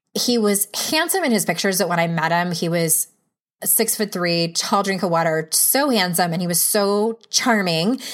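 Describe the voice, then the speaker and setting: Using a plain, everyday voice, a woman talks with pitch that rises and falls in a normal way. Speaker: podcast host. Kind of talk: casual interview chat.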